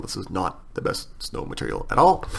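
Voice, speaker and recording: Background noise is clearly noticeable. Through it, a man speaks. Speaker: software tutorial creator. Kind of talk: tutorial. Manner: fast; casual with filler words.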